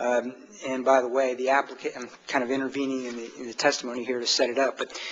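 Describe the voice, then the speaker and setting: Noticeable background noise surrounds a man speaking quietly. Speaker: appellate attorney. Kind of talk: oral argument in court. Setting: courtroom. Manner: halting, many fillers.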